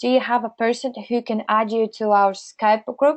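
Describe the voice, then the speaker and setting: Speaking at a moderate pace, a woman uses a fairly high pitch and fairly even intonation. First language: not English. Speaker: webinar presenter. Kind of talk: webinar Q&A. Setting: webinar. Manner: halting.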